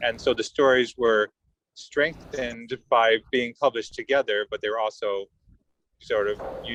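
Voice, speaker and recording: A man with an American accent speaks at a moderate pace and a medium pitch, his intonation fairly even. It is an unremarkable speaking voice, recorded with a dry, close sound and no echo. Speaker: journalist. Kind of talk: webinar panel talk.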